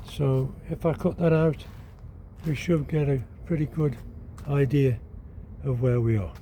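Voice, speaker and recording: A somewhat breathy man with a dark, mellow tone speaks at a fairly high pitch and fairly slow pace, with ordinary pitch variation and long, frequent pauses. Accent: British. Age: 80s+. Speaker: DIY vlogger. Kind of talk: casual vlog narration. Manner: relaxed, conversational.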